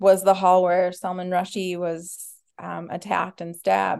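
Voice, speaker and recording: Against a quiet background, a woman talks at a fairly slow pace and medium pitch in a normal speaking voice. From Minnesota, US. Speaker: violinist. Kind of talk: casual chat.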